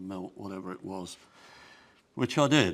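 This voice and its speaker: A man talks with vocal fry. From Netherlands (Amsterdam). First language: Dutch. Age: 80s+. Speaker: sculptor and Holocaust survivor. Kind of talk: speech to an audience. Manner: halting.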